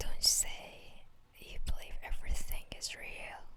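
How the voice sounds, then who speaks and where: Whispering in a soothing tone, a woman speaks at a very slow pace. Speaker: ASMR story narrator. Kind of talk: ASMR fanfiction story narration. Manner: whispered, soothing.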